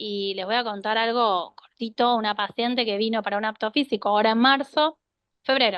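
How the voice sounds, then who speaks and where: A woman with an unremarkable speaking voice and a fairly high pitch talks at a moderate pace. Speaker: cardiologist. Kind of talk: health talk with Q&A.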